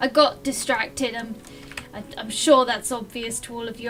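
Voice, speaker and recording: With music in the background, a woman with a fairly high pitch talks at a moderate pace. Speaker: gaming video host. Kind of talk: casual gameplay commentary. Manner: occasional stutter.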